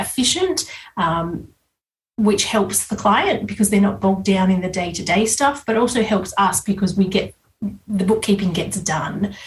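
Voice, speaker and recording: In an Australian accent, a woman speaks at a medium pitch. Her voice is somewhat breathy, with fairly even intonation. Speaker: business coach and bookkeeper. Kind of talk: podcast interview. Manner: hesitant, many fillers.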